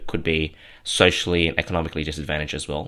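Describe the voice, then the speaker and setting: A man with an Australian accent and a bright, sharp tone, in a very clean recording with a silent background. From southwestern Sydney, Australia. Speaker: podcast host, clothing brand founder. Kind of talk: solo monologue.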